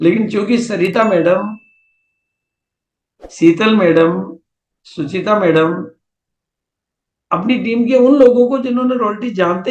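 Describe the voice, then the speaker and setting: A high-pitched man with ordinary pitch variation and long, frequent pauses. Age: 70s. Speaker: business motivational speaker. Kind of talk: seminar talk.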